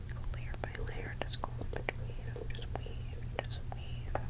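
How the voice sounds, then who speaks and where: Noticeable background noise is present. Beneath it, a voice is whispering. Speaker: ASMR creator. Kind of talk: ASMR whisper ramble to camera. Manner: whispered, repetitive, rambling.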